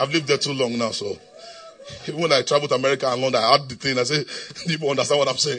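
A man's very fast, animated speech over noticeable background noise. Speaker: preacher. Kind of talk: sermon. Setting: church. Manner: animated, call-and-response; repetitive, emphatic.

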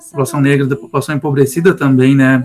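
A man with a fairly high pitch talks at a very fast pace amid noticeable background noise. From Rio Grande city, southern Rio Grande do Sul, Brazil. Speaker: music teacher. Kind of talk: casual chat.

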